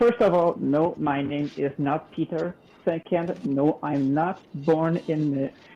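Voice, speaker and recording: Speaking at a very slow pace in a French Canadian accent, a woman has a very deep, low pitch and a dark, mellow tone. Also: ordinary pitch variation. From Quebec. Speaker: caller. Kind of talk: casual chat.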